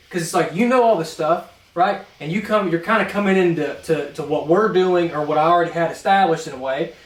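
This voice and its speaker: A man in an American accent talks at a moderate pace and high pitch, with ordinary pitch variation. Noticeable background noise runs beneath him. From North Carolina. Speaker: transmission mechanic and podcast co-host. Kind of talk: casual chat. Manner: animated.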